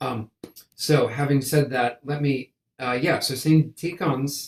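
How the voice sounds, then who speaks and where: This man's voice is somewhat breathy. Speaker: composer and conductor. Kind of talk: interview. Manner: halting, repeated syllables.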